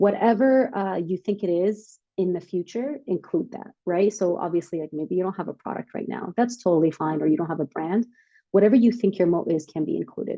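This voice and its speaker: A woman with a non-native accent talks at a fairly quick pace. Her pitch is medium, with ordinary pitch variation. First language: not English. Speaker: startup workshop speaker. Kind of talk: workshop presentation. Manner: casual, filler-heavy.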